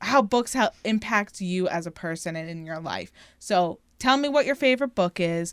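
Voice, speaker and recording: A woman in a Philadelphia accent at a moderate pace and medium pitch, animated tone and lively intonation, with a very clean recording, silent background, and dry, close sound with no echo. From Philadelphia area, US. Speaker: podcast co-host. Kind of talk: casual chat.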